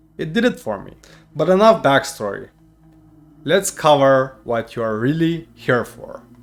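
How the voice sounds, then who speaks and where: A man with a non-native accent at a fairly high pitch, his pitch swinging very widely, with long, frequent pauses and music in the background. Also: fairly slow pace, big swings in loudness. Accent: non-native English accent, improved. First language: not English. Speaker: YouTuber. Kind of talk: personal storytelling to camera.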